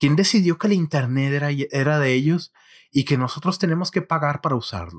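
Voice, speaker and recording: On a very clean recording with a silent background and a dry, close sound free of echo, a man speaks with lively intonation. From northern Mexico, Monterrey. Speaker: podcast host; software worker. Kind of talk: solo monologue. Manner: halting, frequent repetitions.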